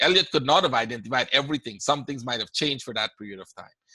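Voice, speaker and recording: Speaking at a very fast pace, a man with a Caribbean accent has a medium pitch and a bright, sharp tone, recorded with a dry, close sound with no echo. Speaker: forex trading educator. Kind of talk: webinar Q&A. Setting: online webinar. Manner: casual, conversational.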